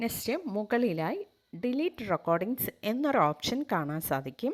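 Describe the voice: At a moderate pace, a woman talks in a fairly high pitch with big pitch swings.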